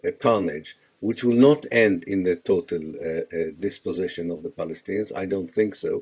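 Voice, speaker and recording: Using lively intonation, a man with a fairly low, dark, mellow voice speaks at a moderate pace. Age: 70s. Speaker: historian and author. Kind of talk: radio interview. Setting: radio broadcast. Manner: halting, many fillers.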